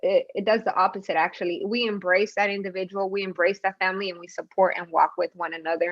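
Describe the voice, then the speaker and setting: Against a quiet background, a woman with a normal speaking voice talks at a fairly quick pace, her medium pitch following fairly even intonation. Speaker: community organizer. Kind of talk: panel presentation. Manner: many fillers and repetitions.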